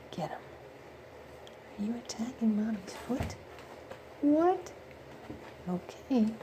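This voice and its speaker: Soft-spoken and very slow, a woman leaves long, frequent pauses while her pitch swings very widely, with audible room echo and noticeable background noise. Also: fairly high pitch for a woman. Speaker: pet owner filming kittens. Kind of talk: casual home video narration.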